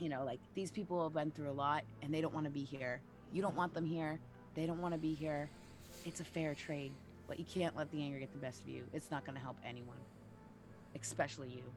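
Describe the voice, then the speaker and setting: Over background music, a put-on character voice at a low-to-middle pitch talks quietly at a fairly quick pace in a calm, strained tone, with long, frequent pauses. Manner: calm, restrained, holding back anger.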